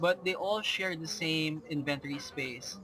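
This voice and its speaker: Over noticeable background noise, a man with a Filipino accent speaks at a very slow pace in a high pitch, with ordinary pitch variation. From Philippines. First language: Filipino language. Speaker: gamer. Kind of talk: gameplay commentary. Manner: hesitant, many fillers.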